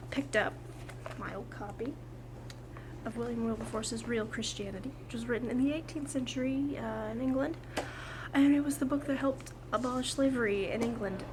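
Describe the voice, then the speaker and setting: Over noticeable background noise, a woman talks at a fairly quick pace, broken by long, frequent pauses. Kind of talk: casual talk to camera. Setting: outdoors. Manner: excited.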